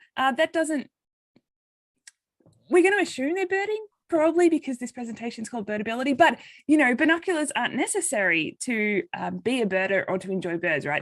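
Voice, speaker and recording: In an Australian accent, a woman talks fairly quickly at a high pitch with very wide pitch swings. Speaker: occupational therapist and nonprofit coordinator. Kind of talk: presentation. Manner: halting.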